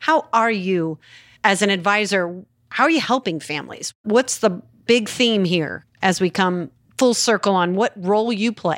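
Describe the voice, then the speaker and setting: In an ordinary speaking voice, a woman talks at a fairly slow pace and medium pitch with lively intonation. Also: very clean recording, silent background. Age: 50s. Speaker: podcast co-host. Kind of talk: casual chat; scripted narration.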